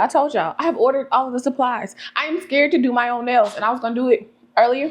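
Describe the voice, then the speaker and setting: A woman talks at a fairly quick pace in an animated tone, her pitch rising and falling in an ordinary way. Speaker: vlogger. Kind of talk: casual chat.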